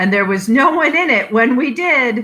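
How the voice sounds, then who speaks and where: A woman puts on a character voice, pitched high. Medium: read story.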